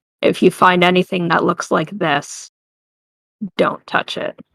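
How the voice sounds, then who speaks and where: This put-on character voice sounds raspy and sits at a middle pitch. It moves at a fairly slow pace. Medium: actual play.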